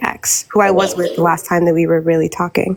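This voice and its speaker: Over music in the background, a woman talks at a fairly quick pace, her fairly low voice monotone and flat. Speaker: caller on a live advice stream. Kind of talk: casual chat, personal story. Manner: fast.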